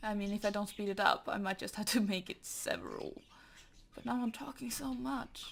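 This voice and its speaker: Her pitch medium and her pace moderate, a woman speaks with very wide pitch swings and vocal fry. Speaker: digital artist. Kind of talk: casual talk while drawing. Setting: home, birds chirping in background. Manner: rambling, hesitant.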